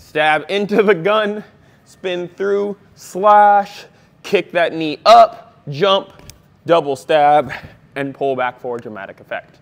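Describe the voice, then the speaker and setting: A high-pitched man's voice with lively intonation at a very slow pace. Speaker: martial arts instructor. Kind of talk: tutorial.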